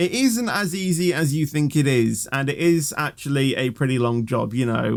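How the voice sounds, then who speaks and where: A man with a British accent, ordinary pitch variation, and a very clean recording over a silent background. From Britain. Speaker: YouTuber, gaming content creator. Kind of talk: Q&A video answering viewer questions. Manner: casual, many fillers and hesitations.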